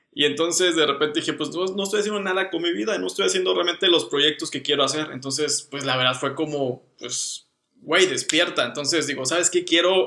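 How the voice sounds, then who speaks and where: With hardly any pauses, a man talks at a fairly quick pace in a fairly high pitch with ordinary pitch variation. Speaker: designer, podcast co-host. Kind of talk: casual chat.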